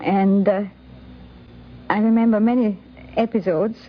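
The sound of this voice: Her intonation fairly even, a woman speaks at a medium pitch.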